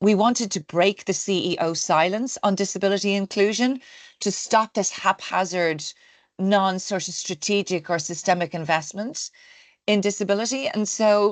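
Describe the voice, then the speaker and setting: A woman with an Irish accent and a medium pitch speaks at a moderate pace with ordinary pitch variation, in a dry, close sound with no echo against a quiet background. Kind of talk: interview.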